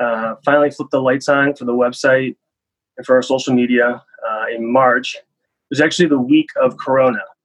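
A man with a Midwestern US accent talks at a fairly quick pace and medium pitch. His intonation stays fairly even, while his loudness swings widely. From US Midwest, Cleveland, Ohio. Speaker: startup founder. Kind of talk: interview.

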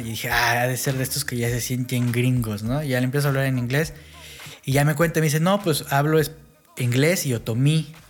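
Man's medium-pitched voice in a Mexico City accent, fairly quick and fairly even in intonation, with noticeable background noise. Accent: Mexico City (chilango) Spanish. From Mexico, grew up bilingual English-Spanish. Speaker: podcast co-host. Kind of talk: casual chat.

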